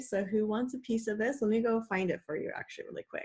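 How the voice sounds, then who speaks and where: Somewhat breathy, a woman speaks at a fairly quick pace with lively intonation. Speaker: online coach and school psychologist. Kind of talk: live webinar presentation. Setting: live video call with screen share.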